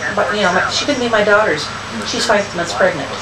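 A woman talks over loud background noise. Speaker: grandmother. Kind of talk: casual political chat. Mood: indignant, opinionated. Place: home room. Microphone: camera far.

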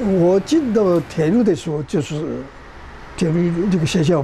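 Light background noise runs under a man's voice. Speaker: retired railway employee. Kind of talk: interview answer.

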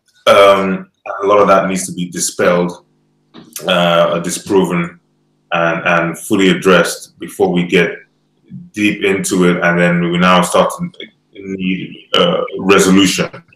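At a fairly slow pace, a man talks with long, frequent pauses in audible room echo. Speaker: online show host. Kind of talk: panel discussion. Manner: hesitant, many fillers. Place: home room.

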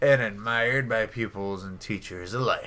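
A man performs a put-on character voice. He delivers it at a fairly slow pace. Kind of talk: formal ceremonial speech. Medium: game stream. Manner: declamatory.

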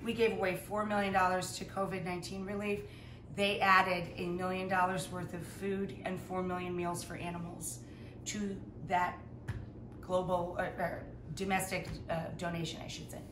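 A woman speaks at a moderate pace, with long, frequent pauses and a monotone, flat intonation. There is noticeable background noise. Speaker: home cook host. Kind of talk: casual Q&A chat. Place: kitchen. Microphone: camera far.

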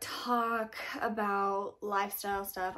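A woman with a fairly high pitch talks over a quiet background. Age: 20s. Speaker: book and lifestyle YouTuber; channel host. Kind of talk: casual vlog monologue. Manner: casual, with filler words. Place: home room.

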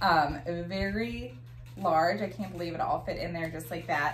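Light background noise and audible room echo around a woman's voice. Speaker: product reviewer. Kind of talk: casual product review. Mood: cheerful, pleasantly surprised. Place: home room. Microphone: camera far.

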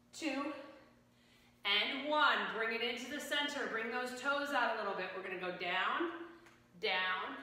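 Strong room echo surrounds a woman speaking at a very slow pace. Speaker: fitness instructor. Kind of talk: workout instruction cues. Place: gym. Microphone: camera far.

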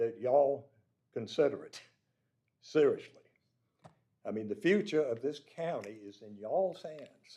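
A man speaks fairly slowly in a fairly high voice with a dark, mellow tone and lively intonation. His loudness swings widely, and he leaves long, frequent pauses. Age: 80s+. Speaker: public commenter. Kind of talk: public comment at council meeting.

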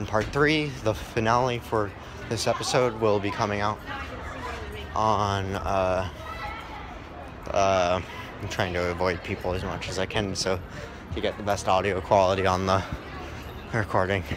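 A man's fairly low voice at a moderate pace, with long, frequent pauses, fairly even intonation and crowd noise in the background. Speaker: gaming channel vlogger. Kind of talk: casual vlog chat. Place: street. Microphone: phone near.

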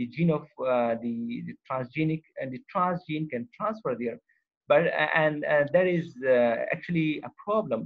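Moderate pace and lively intonation in a plain, everyday voice. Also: man, fairly high pitch for a man. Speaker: university professor. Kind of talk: online lecture. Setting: video call. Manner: code-mixes Hindi-Urdu and English.

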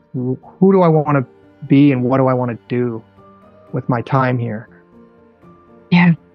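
A man at a fairly slow pace with ordinary pitch variation, dry sound without echo, and faint music underneath. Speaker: interview guest. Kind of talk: interview answer. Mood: earnest, purposeful. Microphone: earbuds.

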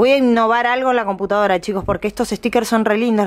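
A woman speaks over a quiet background. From Argentina. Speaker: YouTuber. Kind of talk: unboxing vlog. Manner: animated; fast. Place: home room.

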